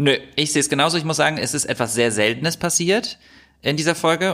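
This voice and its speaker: On a very clean recording with a silent background, a man with a fairly high pitch and ordinary pitch variation speaks fairly quickly. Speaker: podcast co-host. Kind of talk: casual banter podcast chat. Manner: chatty; critical.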